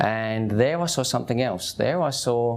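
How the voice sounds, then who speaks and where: Noticeable background noise surrounds a man speaking. His intonation is lively and his pace fairly slow. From East London, England (Hackney). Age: 50s. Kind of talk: testimony. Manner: casual, conversational.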